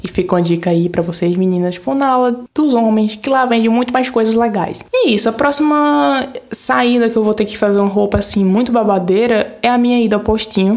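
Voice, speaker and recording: Over noticeable background noise, a woman speaks fairly quickly at a fairly high pitch, with ordinary pitch variation and hardly any pauses. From Brazil, Pernambuco (Floresta). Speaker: podcast host. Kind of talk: casual monologue. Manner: animated.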